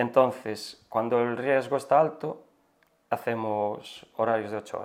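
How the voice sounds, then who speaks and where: At a fairly slow pace, an ordinary speaking voice moves through big swings in loudness. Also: man, medium pitch for a man, fairly even intonation. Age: 40s. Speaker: forest firefighter. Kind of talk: interview.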